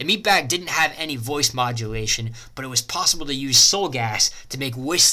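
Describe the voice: Lively intonation in plain reading aloud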